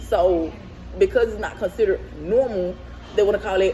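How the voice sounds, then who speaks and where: A woman speaks at a fairly quick pace while noticeable background noise carries on. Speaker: vlogger. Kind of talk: casual monologue vlog. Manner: fast; animated.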